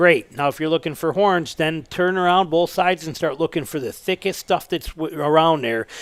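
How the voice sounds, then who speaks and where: A man with an American accent speaks at a moderate pace in a plain, everyday voice, fairly high in pitch with ordinary pitch variation. He uses hardly any pauses, and the sound is dry and close with no echo. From Northern Michigan. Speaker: bow hunter. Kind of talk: casual interview chat.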